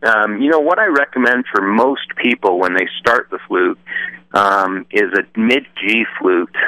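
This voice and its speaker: A man with an American accent speaks at medium pitch in a bright, sharp tone with lively intonation. His pace is fairly slow, and the sound is dry and close with no echo. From Utah. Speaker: flute maker. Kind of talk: radio interview.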